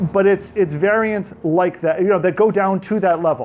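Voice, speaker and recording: With a New York accent, a man speaks over noticeable background noise. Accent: New York American. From New York, US. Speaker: tech speaker, developer. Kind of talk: technical presentation to audience. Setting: meetup talk with live audience. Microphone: speaking without a microphone.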